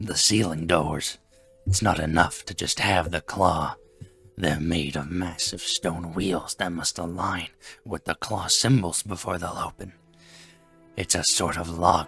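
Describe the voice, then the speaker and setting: With music in the background, a man uses a gruff, put-on character voice at a very deep, low pitch and a fairly slow pace. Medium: read story. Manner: gruff, snappish.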